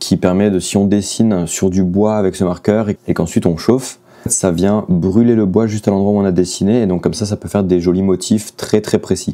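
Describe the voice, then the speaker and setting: Noticeable background noise sits behind a man's fairly low voice. He speaks at a moderate pace in a monotone, flat intonation. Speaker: artist and vlogger. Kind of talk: casual vlog. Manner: hesitant, many fillers.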